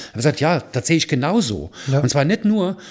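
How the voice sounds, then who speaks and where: A man's fairly high-pitched voice makes very wide pitch swings. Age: 60s. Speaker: charity founder and photographer. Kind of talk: casual chat.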